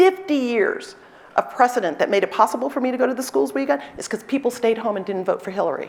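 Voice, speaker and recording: The voice is loud, with very wide pitch swings. Noticeable background noise is present. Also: woman. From New York City, South Bronx. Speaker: law professor and dean. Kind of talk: conference talk Q&A. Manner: animated, energetic.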